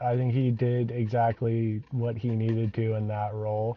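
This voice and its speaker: A man speaks at medium pitch in an ordinary speaking voice. His pace is fairly slow. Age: 20s. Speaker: comedy band member. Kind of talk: casual chat.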